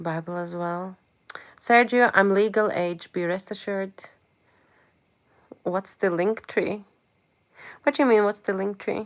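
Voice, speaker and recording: On a very clean recording with a silent background, a woman at medium pitch talks at a fairly slow pace, leaving long, frequent pauses. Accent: non-native. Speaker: live streamer. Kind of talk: live stream chat. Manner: animated.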